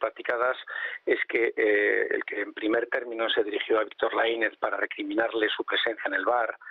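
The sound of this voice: The sound is dry and close with no echo as a man talks at a fairly quick pace, his pitch fairly low and showing little movement.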